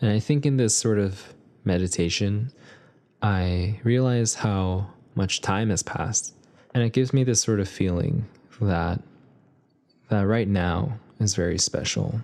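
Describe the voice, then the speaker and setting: A man with an American accent speaks fairly slowly, with long, frequent pauses and a dark, mellow tone. His pitch is fairly low with ordinary variation, and his loudness stays very even. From US, Korean American. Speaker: podcast host. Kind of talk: solo reflective monologue. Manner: casual.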